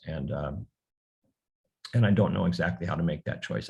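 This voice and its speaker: A man talks at a fairly quick pace with a very deep, low pitch. Vocal fry runs through his voice. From US mainland. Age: 70s. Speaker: novelist. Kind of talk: book talk Q&A. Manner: halting, many repetitions.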